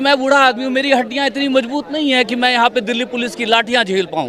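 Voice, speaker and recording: A man speaks at an extremely high pitch while crowd noise carries on in the background. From Delhi, family from Bihar. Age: 60s. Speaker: protester. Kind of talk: street interview. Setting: outdoors at a protest.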